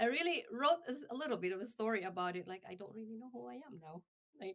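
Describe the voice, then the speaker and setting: In an American accent, a woman talks at a very fast pace. Her fairly high voice makes very wide pitch swings. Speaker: radio host. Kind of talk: interview. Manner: halting.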